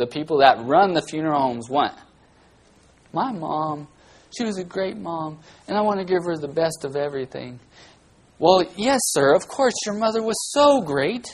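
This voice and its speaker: A man talks at a moderate pace with long, frequent pauses. His pitch is high and his intonation lively. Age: 40s. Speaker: guest preacher filling in for pastor. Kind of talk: sermon.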